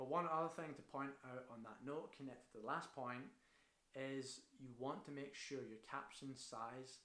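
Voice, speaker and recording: A man with a Scottish accent speaks at a moderate pace with ordinary pitch variation, and the room echo is audible. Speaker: marketing consultant. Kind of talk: tutorial. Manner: casual.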